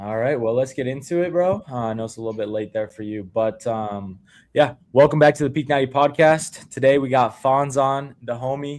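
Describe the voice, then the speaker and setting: A man with an American accent, a normal speaking voice, ordinary pitch variation, a fairly quick pace with hardly any pauses, and a quiet background. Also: medium pitch for a man. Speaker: fitness coach and podcast host. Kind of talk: casual chat.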